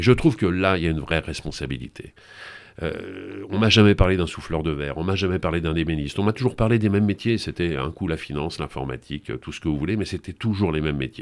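A man talks at a very fast pace with vocal fry. His pitch is very deep and low. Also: ordinary pitch variation. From Paris region (grew up in suburbs; born in Brittany). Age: 60s. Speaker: TV presenter. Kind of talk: interview.

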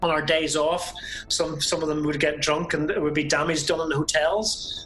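Someone with a Belfast accent speaks at a moderate pace over noticeable background noise. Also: man. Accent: Belfast Northern Irish. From Northern Ireland, Belfast. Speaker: former car salesman and stage crew worker. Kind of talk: interview storytelling.

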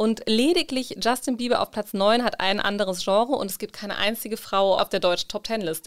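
A woman speaks fairly quickly at a medium pitch in a plain, everyday voice. Her pitch varies in an ordinary way. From Germany. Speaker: podcast co-host. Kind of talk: casual chat.

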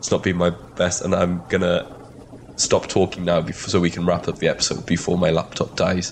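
A man with a very deep, low pitch and a slight Welsh accent, at a moderate pace with very even loudness, monotone, flat intonation and noticeable background noise. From Wales. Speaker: podcast co-host. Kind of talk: casual banter chat. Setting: video call, traveling in the US. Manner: loud speaker.

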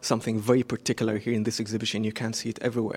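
With an Arabic accent, a man speaks at medium pitch with monotone, flat intonation. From Iraq. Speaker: painter. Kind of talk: interview. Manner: halting.

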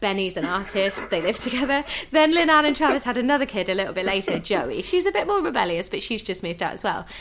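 A woman with a British accent at a very fast pace, fairly high-pitched, with very wide pitch swings, hardly any pauses and noticeable background noise. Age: 30s. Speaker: stand-up comedian. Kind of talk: casual chat.

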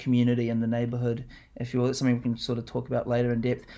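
A man at medium pitch on a very clean recording with a silent background. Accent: New Zealand. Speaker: podcast co-host. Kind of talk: casual chat. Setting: home lounge studio.

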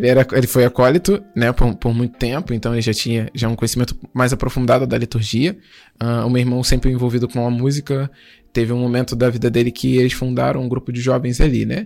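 A man's intonation stays fairly even even though his pace is very fast. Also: medium pitch for a man. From Brazil, Duque de Caxias, Rio de Janeiro. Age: 20s. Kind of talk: testimony.

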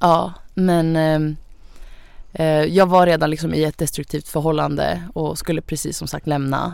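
A woman with a very deep, low pitch speaks in a monotone, flat intonation. She goes at a fairly slow pace with hardly any pauses. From Sweden. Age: young. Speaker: influencer, young single mother. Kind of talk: casual chat. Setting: studio.

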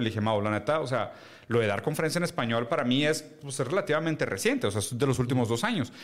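The speaker talks at a very fast pace in a Mexican accent. Pitch variation is ordinary. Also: man. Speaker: podcast co-host. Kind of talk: casual chat.

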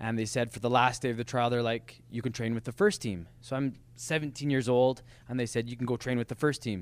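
A man with a western Canadian accent at a fairly quick pace, on a very clean recording with a silent background. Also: medium pitch for a man, fairly even intonation. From Lethbridge, Alberta, Canada. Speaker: professional soccer player. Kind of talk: casual chat. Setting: studio.

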